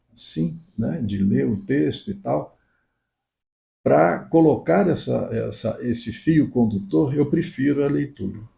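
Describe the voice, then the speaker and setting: A man with vocal fry and a dark, mellow tone speaks at a very slow pace, his pitch swinging very widely. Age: 80s+. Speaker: psychoanalyst. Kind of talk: reading aloud; casual chat. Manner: soft-spoken; halting.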